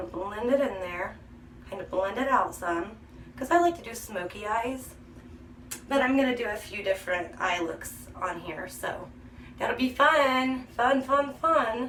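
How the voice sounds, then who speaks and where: Amid noticeable background noise and audible room echo, a woman speaks fairly slowly at a fairly high pitch, with lively intonation and big swings in loudness. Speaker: beauty vlogger. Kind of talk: makeup tutorial. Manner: chatty.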